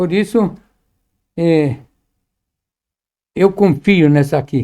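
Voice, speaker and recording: At a very slow pace, a man with a high pitch and a dark, mellow tone speaks with ordinary pitch variation. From Lebanon. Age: 80s+. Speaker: Quran translator, professor. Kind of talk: podcast interview.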